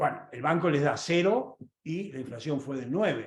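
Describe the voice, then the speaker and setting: This man's voice sits at a fairly high pitch, somewhat breathy, with ordinary pitch variation. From Argentina. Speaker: economist. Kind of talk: lecture. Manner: fast; animated.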